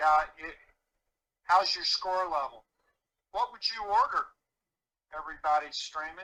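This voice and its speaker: A man with an American accent speaks in a raised, projected voice that is high for a man, with a bright, sharp tone. His pace is moderate and his pitch varies in an ordinary way. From US Midwest, Chicago. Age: 70s. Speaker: performance coach. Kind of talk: podcast interview. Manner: animated.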